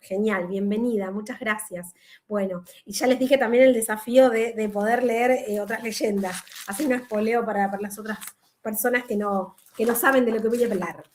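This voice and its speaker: A woman speaks at a moderate pace in an ordinary speaking voice. Her pitch is fairly high, her intonation fairly even. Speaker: law professor. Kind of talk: online lecture. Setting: video call.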